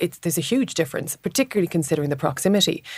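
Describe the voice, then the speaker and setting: Somewhat breathy, a woman with an Irish accent talks at a very fast pace. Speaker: political reporter. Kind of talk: casual political chat. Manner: repeats words when thinking.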